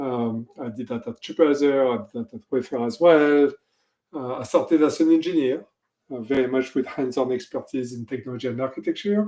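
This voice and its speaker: A man's dark, mellow voice at a medium pitch, fairly quick, with big swings in loudness and ordinary pitch variation. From France. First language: French. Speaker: technology executive. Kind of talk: interview.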